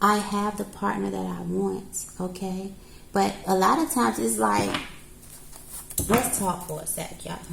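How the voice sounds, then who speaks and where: With noticeable background noise and audible room echo, a woman speaks in a calm tone at a fairly slow pace, leaving long, frequent pauses. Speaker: tarot reader. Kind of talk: tarot reading to camera. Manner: calm counselor-like.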